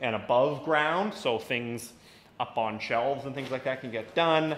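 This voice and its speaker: Against light background noise and audible room echo, a man talks at a moderate pace with ordinary pitch variation. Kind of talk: casual vlog chat. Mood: upbeat, pleased. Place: workshop. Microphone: phone near.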